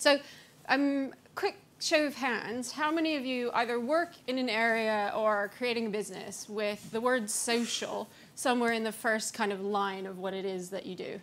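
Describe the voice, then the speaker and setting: With an American accent, a woman speaks at a moderate pace in a fairly high pitch with ordinary pitch variation. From US-Canada border region. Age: young. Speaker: brand strategist; conference speaker. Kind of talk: conference talk. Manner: hesitant, many fillers. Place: hall. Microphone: podium.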